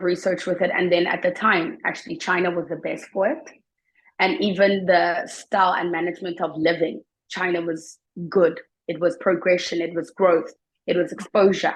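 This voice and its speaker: The speaker has a South African accent and fairly even intonation. The pace is moderate, and the background is quiet. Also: woman, fairly low pitch for a woman. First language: Xhosa and Zulu. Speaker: teacher. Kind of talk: interview.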